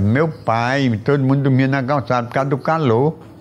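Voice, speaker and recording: Against noticeable background noise, a man talks in a fairly high voice. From Arapiraca, Alagoas, Brazil. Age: 70s. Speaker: elderly local resident interviewee. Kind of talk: interview. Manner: halting, repetitive.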